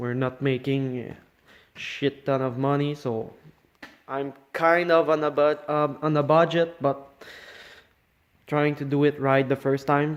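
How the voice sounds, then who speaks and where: A man with a Quebec accent speaks at a fairly slow pace in a fairly high pitch, his intonation monotone and flat, with long, frequent pauses. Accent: French Canadian accent in English. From Quebec, French Canada. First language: French. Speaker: car hobbyist. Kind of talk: casual project walkthrough. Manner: halting, with fillers and false starts.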